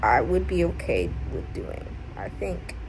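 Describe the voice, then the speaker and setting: The speech moves at a fairly slow pace with audible room echo and music in the background. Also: woman. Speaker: art student and video creator. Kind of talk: vlog narration. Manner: casual, filler-heavy.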